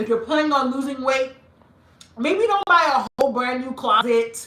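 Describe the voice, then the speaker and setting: A woman's high, animated voice with an American accent. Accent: Nigerian accent switching back and forth. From Nigeria and US, mixed upbringing. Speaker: style YouTuber. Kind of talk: live-stream Q&A chat.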